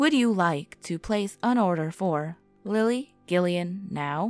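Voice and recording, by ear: A put-on, robotic, female-sounding character voice at a medium pitch moves at a fairly slow pace over faint music in the background.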